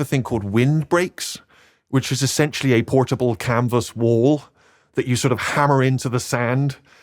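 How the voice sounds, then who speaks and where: He talks at a fairly quick pace with a Bristol accent. The man's pitch variation is ordinary. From Bristol, England. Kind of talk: podcast interview answer.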